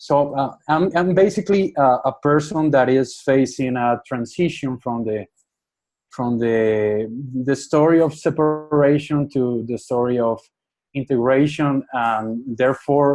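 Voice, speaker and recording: A man speaks at a fairly slow pace. His medium pitch shows ordinary pitch variation. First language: not English. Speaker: webinar participant, systems thinker. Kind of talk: question from audience. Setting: online webinar call. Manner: hesitant.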